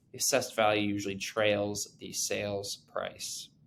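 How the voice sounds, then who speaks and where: A man's plain, everyday voice, medium in pitch, at a fairly slow pace. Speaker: real estate agent and investor. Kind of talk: tutorial. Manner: many filler words and restarts.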